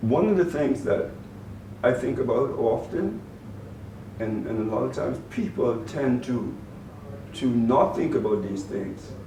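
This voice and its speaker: With a Bahamian accent, a man speaks at a fairly slow pace and medium pitch, with lively intonation, long, frequent pauses and audible room echo. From Bahamas (Grand Bahama), born in Turks and Caicos. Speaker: former public agency director and youth mentor. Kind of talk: interview. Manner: halting, many repeated words.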